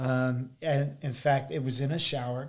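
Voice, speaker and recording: With an American accent, a man talks at a very slow pace in a flat monotone at a fairly high pitch. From Arizona and southern Missouri. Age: 30s. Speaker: pastor. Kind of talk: testimony.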